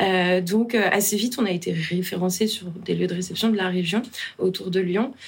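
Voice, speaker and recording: A woman at medium pitch and moderate pace, over noticeable background noise. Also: fairly even intonation. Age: 30s. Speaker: founder of a children's entertainment company. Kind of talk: casual interview.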